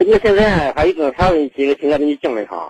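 Pitched fairly high, a man speaks at a fairly quick pace. The sound is dry and close with no echo. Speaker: caller. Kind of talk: phone call-in. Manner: halting.

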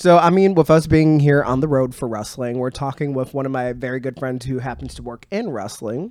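The delivery has an unremarkable speaking voice at a fairly quick pace with hardly any pauses. Pitch variation is ordinary. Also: man, medium pitch for a man. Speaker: podcast host. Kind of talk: casual interview chat. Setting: in person at wrestling event weekend.

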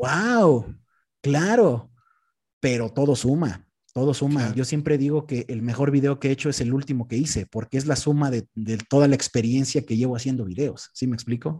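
On a very clean recording with a silent background, a man with a medium-pitched, dark, mellow and somewhat breathy voice speaks at a moderate pace with ordinary pitch variation. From central Mexico, Texcoco area. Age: 20s. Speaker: content creator and radio host. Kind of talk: casual interview.

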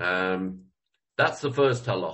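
A man's pitch moves with ordinary variation. His voice is somewhat breathy. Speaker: Torah teacher. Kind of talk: lecture. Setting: video call. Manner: halting.

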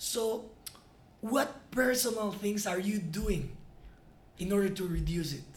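The speaker has a Spanish accent and a fairly slow pace. Long pauses come often. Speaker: podcast host. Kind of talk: interview.

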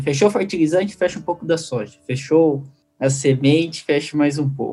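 A man talks fairly quickly at a fairly high pitch in an unremarkable speaking voice. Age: 20s. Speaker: podcast host. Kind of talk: casual interview chat.

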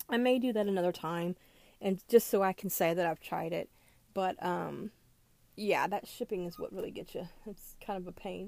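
At a moderate pace, a woman with an American accent and a medium pitch is heard on a very clean recording with a silent background. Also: ordinary pitch variation. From US South. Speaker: podcast host. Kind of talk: casual monologue. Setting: recording in a closet. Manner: hesitant, many fillers.

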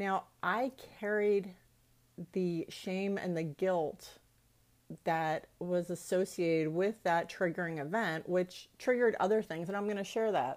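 On a very clean recording with a silent background, a woman speaks at a fairly slow pace in an animated tone, with medium pitch and ordinary pitch variation. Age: 50s. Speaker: podcast host, life coach. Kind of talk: personal testimony.

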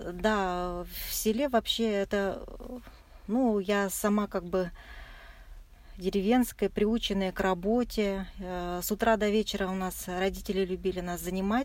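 A woman with a medium-pitched voice speaks at a fairly slow pace with fairly even intonation and long, frequent pauses. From Russia, Chuvashia. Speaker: marathon runner. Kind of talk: interview. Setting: in a car. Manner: soft-spoken.

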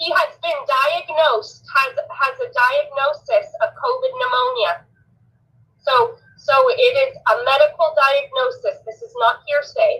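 A woman with an American accent, extremely high pitch, very wide pitch swings, big swings in loudness, a bright, sharp tone, a raised, projected voice and a fairly slow pace. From Oregon, US (Elmira). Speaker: caller. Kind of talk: phone call on live show.

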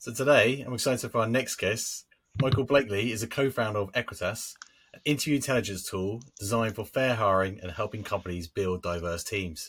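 A man talks at a fairly quick pace in a medium pitch. His pitch varies in an ordinary way, while his loudness swings widely. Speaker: podcast co-host. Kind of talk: casual chat. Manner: halting, repeats words.

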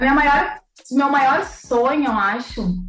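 Noticeable background noise and audible room echo accompany a woman talking at a moderate pace. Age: 20s. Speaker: beauty pageant queen and systems analyst. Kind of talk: casual interview.

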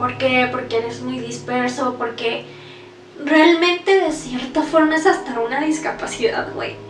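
With a Mexican accent, a woman speaks at a fairly slow pace and a high pitch, with audible room echo and noticeable background noise. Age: 20s. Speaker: podcaster. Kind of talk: personal testimony.

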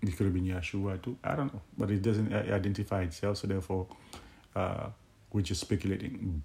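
Fairly low, somewhat breathy male voice with a dark, mellow tone. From Haiti. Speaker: Bible teacher. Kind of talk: Bible teaching monologue. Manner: halting, many fillers.

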